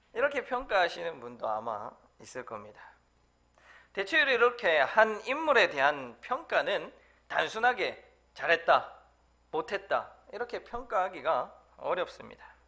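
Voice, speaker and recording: Raising and projecting his high-pitched voice, a man uses a bright, sharp tone with very wide pitch swings, big swings in loudness, and long, frequent pauses. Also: fairly slow pace. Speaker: preacher, church evangelist. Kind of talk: sermon.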